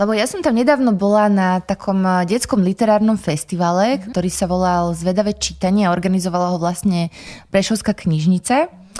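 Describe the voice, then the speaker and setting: A woman speaks at a fairly quick pace in a medium pitch with a dark, mellow tone and ordinary pitch variation. Her loudness swings widely, and the recording is very clean with a silent background. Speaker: podcast host, library. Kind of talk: interview, conversational. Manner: formal, polite.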